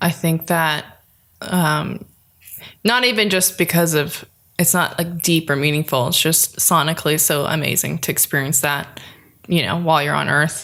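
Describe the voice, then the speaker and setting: A woman with a slight Southern California accent and a very deep, low pitch, her tone bright and sharp, at a moderate pace with very even loudness and ordinary pitch variation. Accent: slight Valley girl. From Los Angeles, San Fernando Valley. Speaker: singer-songwriter. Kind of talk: casual interview. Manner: animated.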